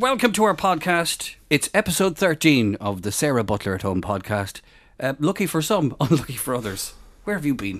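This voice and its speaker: A man with an Irish accent speaks at a moderate pace, his fairly high voice showing vocal fry and very wide pitch swings. The recording is very clean, with a silent background. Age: 40s. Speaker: podcast co-host. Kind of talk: casual chat.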